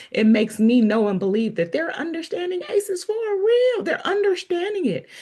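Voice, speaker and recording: Noticeable background noise surrounds a woman speaking at a moderate pace. Her pitch is extremely high and swings very widely. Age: 40s. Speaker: podcast host. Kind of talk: casual chat.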